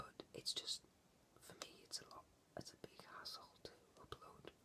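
A man is whispering. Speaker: ASMR creator. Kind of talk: ASMR whispered talk about a comic book. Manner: whispered. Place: home room. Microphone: webcam.

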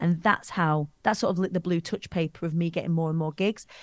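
A woman speaks with a Lancashire accent at a fairly low pitch. The sound is dry with no echo. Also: quiet background. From Preston, England; England. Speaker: public speaking coach. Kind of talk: interview answer. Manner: energetic, bombastic. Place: home room. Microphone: studio mic.

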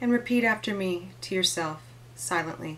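At a fairly slow pace, a woman speaks with ordinary pitch variation. Her pitch is medium. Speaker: energy coach and intuitive. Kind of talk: guided meditation, with vlog intro and outro. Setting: video blog to camera. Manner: instructive, encouraging. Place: home room. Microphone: phone near.

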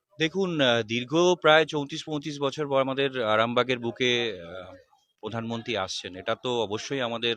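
Bright and sharp in tone, a man speaks with ordinary pitch variation in a dry sound with no echo, over light background noise. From West Bengal. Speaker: political party worker. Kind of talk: interview. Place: street. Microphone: handheld.

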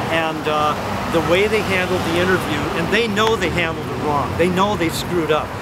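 A man talks with ordinary pitch variation. Loud background noise fills the recording. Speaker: interviewee. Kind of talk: interview answer. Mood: defensive, explaining. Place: street. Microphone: handheld.

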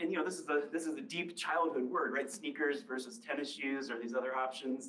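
A man with an American accent speaks at a very fast pace in a fairly high pitch, with audible echo in the room. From US Midwest. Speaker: linguistics professor. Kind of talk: public lecture. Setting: library talk with live and Zoom audience. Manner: conversational, engages audience with questions. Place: hall.

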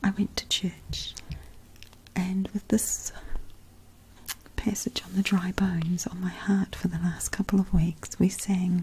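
Light background noise sits behind a soft-spoken voice. The pace is fairly slow. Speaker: speaker. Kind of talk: devotional testimony talk. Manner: soft-spoken, hushed ASMR voice.

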